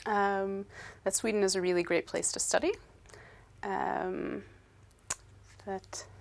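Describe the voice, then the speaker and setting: With an American accent, a woman speaks at a very slow pace. Her speech has long, frequent pauses. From upstate New York, US. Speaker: English teacher. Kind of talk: interview. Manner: hesitant, many fillers.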